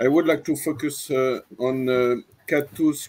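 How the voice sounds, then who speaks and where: A man with a French accent speaks at a fairly high pitch. His pace is fairly slow. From France. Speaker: mathematician. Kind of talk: panel discussion. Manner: halting, many hesitations.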